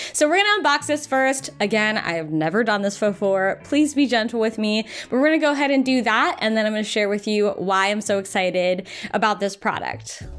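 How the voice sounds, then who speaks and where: Noticeable background noise sits behind a woman with a fairly high pitch and an animated tone. She talks at a fairly quick pace with lively intonation. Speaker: lifestyle YouTuber. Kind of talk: unboxing video.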